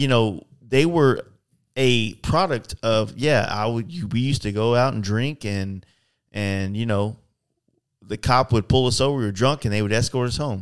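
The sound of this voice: A man at medium pitch with a clear, smooth tone, ordinary pitch variation and a moderate pace.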